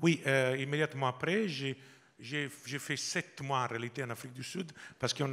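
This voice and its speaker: The man's voice sits at a medium pitch, moving at a moderate pace with fairly even intonation. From Italy, Sardinia. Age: 50s. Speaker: business executive. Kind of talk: interview. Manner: halting.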